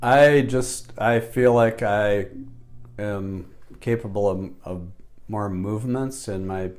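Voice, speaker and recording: Speaking very slowly with fairly low pitch, a man keeps a fairly even intonation but shows big swings in loudness, with audible room echo. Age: 60s. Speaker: chiropractic patient. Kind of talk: testimony. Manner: halting.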